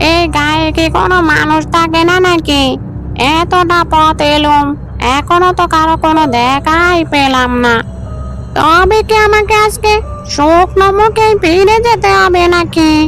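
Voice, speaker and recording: Through loud background noise comes a female-sounding, cartoonish character voice, extremely high in pitch and fairly slow in pace. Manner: crafty, self-indulgent.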